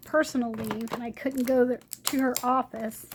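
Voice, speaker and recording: At a moderate pace, a woman speaks at a high pitch with fairly even intonation over noticeable background noise. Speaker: craft video creator. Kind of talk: product review. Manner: hesitant, many fillers.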